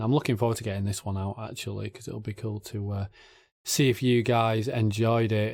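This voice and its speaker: In a very clean recording with a silent background, a man of medium pitch speaks fairly quickly with an English accent. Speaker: YouTube reaction channel host. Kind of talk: casual Q&A talk to camera.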